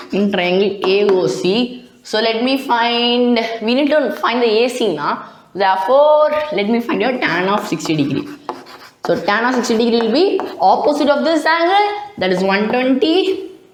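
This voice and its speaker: A high-pitched woman with very wide pitch swings at very even loudness, against noticeable background noise and audible room echo. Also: moderate pace. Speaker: math tutor. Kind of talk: tutorial. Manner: halting.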